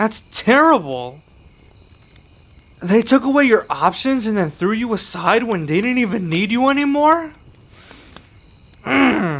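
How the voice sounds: Using a put-on character voice, a man talks high for his sex at a fairly slow pace, with big pitch swings, a fairly bright tone and long, frequent pauses.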